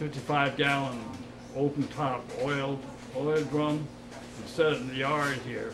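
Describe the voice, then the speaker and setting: Someone with an American accent speaks at a fairly slow pace against noticeable background noise. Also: man. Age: 80s+. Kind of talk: interview answer.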